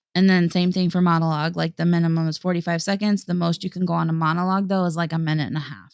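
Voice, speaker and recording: A woman speaks very fast in a fairly low voice, her intonation monotone and flat. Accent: Midwestern. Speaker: singer and livestream co-host. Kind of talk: casual chat. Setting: livestream.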